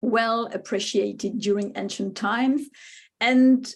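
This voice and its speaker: A woman speaks with a French accent against a quiet background. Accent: French accent, noticeable. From France, Spanish-speaking home. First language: Spanish. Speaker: wine writer and speaker. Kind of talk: lecture. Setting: webinar. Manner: hesitant, many fillers.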